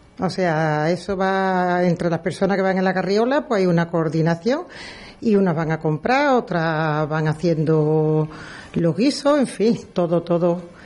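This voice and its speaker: A woman with a dark, mellow tone and medium pitch speaks at a fairly slow pace, her intonation lively and her loudness very even. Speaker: brotherhood worship officer. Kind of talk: radio interview.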